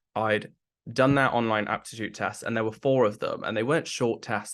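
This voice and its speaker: A man with a British accent speaks at a medium pitch. His intonation is fairly even over a quiet background. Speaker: person with Tourette's sharing work experience. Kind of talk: interview testimony. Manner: frequent vocal tics, repeated syllables and swearing.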